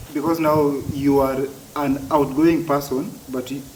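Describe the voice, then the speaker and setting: A man speaks in a fairly high pitch with monotone, flat intonation. Noticeable background noise and audible room echo are present. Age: adult. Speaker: stammering advocate. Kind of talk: interview. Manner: halting, repeated words.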